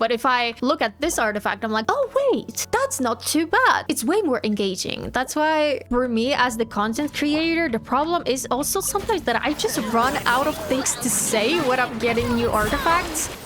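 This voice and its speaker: A woman with a non-native accent, high pitch and very wide pitch swings, at a moderate pace and very even loudness. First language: not English. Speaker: gaming content creator. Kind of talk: casual gameplay commentary. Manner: animated.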